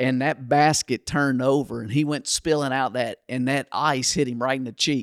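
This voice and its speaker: In a Southern US accent, a man speaks at a medium pitch and moderate pace with hardly any pauses, his intonation monotone and flat, the sound dry and close with no echo on a very clean recording with a silent background. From Kentucky, US. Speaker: pastor. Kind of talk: casual ministry podcast conversation.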